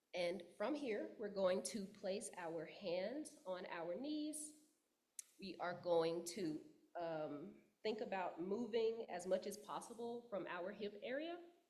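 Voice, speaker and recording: A woman with a Texas accent speaks at a very slow pace, her medium pitch moving with lively intonation. Audible room echo surrounds her voice. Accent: Southern US (Texas). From Texas, Dallas. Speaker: yoga teacher and writer. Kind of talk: guided yoga instruction. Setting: church service. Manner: loud; calm, with frequent fillers.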